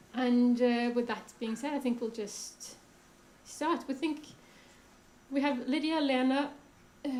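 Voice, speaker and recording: Long, frequent pauses mark a woman's high-pitched voice, which keeps fairly even intonation at a fairly slow pace amid audible room echo. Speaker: panel moderator, critic. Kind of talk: panel discussion moderation. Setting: stage with audience, microphone.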